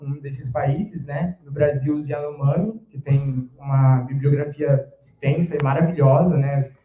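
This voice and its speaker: Fairly slow and fairly even in intonation, a man speaks at a fairly high pitch. Audible room echo surrounds him. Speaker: philosophy undergraduate presenter; presenter. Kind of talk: academic presentation. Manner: reading aloud. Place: classroom. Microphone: handheld.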